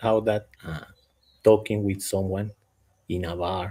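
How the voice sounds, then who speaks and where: A man with a non-native accent speaks in a dark, mellow tone. His pace is fairly slow and his intonation fairly even. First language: not English. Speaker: startup founder. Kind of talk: casual panel chat. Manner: halting, with repetitions.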